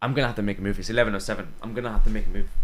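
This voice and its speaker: Very wide pitch swings and vocal fry from a male speaker. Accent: American. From outside the US. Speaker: crypto trader and streamer. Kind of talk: live stream market analysis. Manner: casual, repetitive stammering; fast.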